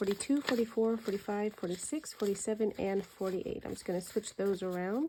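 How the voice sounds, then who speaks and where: A soft-spoken woman talks fairly quickly in a dark, mellow tone. Her pitch is medium, with ordinary variation. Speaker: budgeting content creator. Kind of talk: cash envelope stuffing tutorial. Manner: soft-spoken, quiet; counting aloud.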